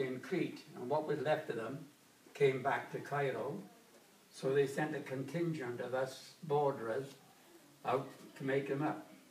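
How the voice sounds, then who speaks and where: A man with a Welsh accent speaks at a moderate pace and a fairly high pitch, his intonation fairly even. Noticeable background noise sits behind him. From Wales. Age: 80s+. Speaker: war veteran; former engineer. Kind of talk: oral history interview answer.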